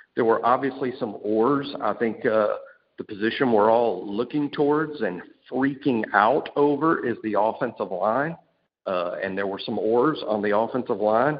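A man speaks with a Southern US accent. His pitch is medium and his pace moderate. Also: ordinary pitch variation. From Alabama. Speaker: sports podcast co-host. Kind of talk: casual chat.

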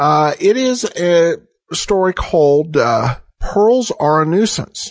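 Relaxed in tone, the speech moves very slowly with lively intonation. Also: man. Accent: American. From US Northwest, Idaho. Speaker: podcast host. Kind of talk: casual intro and outro commentary. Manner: relaxed, somewhat halting with filler words.

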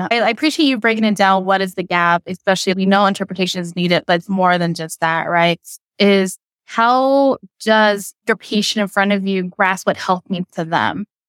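With an American accent, a woman speaks at a moderate pace and medium pitch with ordinary pitch variation, recorded very cleanly against a silent background in a dry, close sound with no echo. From US, greater Seattle area. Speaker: social worker. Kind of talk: interview. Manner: direct, blunt.

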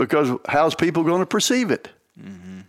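Moderate-paced speech with an American accent, very wide pitch swings and vocal fry on a very clean recording with a silent background. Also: man. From Oklahoma. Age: 70s. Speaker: bird dog trainer. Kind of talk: interview. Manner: halting.

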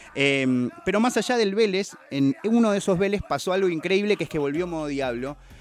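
A man with a high pitch talks at a moderate pace with lively intonation and hardly any pauses. Noticeable background noise runs underneath. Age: 30s. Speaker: hip hop culture commentator. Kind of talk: casual chat.

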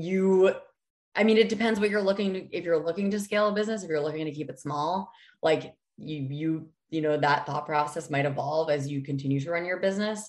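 A woman with a normal speaking voice and an American accent talks at a fairly quick pace, her pitch fairly low with ordinary variation. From New Hampshire, US. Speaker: food company founder and CEO. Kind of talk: interview.

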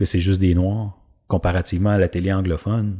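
On a very clean recording with a silent background, a man in a Quebec accent speaks at a moderate pace with a fairly low pitch and a dark, mellow tone. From Quebec, Drummondville. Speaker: actor. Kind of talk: casual interview. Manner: halting, many repetitions.

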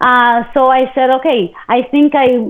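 A woman speaks with a Spanish accent. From Argentina. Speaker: TV host and media entrepreneur. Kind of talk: interview. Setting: live video webcast.

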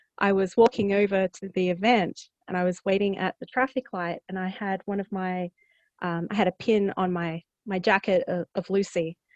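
With an Australian accent, a woman speaks at a moderate pace and fairly even intonation in a dry, close sound with no echo and a quiet background. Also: medium pitch for a woman. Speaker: author. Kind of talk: casual interview chat.

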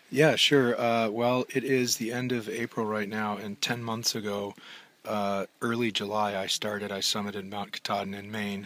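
With an American accent, a man talks at a moderate pace in a fairly low pitch and a monotone, flat intonation. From Minnesota. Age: 50s. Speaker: long-distance hiker. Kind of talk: interview.

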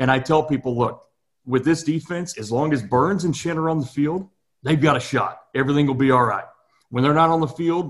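The voice is somewhat breathy, with lively intonation and an enthusiastic, animated tone. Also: man. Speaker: podcast host. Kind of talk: casual interview chat.

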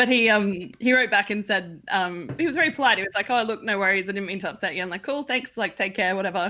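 An Australian-accented woman speaks very fast with hardly any pauses, her medium-pitched, bright and sharp voice showing ordinary pitch variation over a quiet background. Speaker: pipe band organization president. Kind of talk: casual chat.

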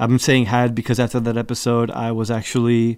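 An ordinary speaking voice with an American accent moves at a moderate pace. The recording is very clean, with a silent background. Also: man. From US Northeast, Newark, New Jersey. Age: 30s. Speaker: podcast host. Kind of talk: casual chat. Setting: studio.

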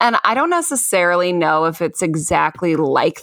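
A woman uses a normal speaking voice at a fairly low pitch and moderate pace, with ordinary pitch variation. The recording is very clean, with a silent background. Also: dry, close sound with no echo. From Chicago, US Midwest. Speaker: stand-up comedian and host. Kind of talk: casual chat.

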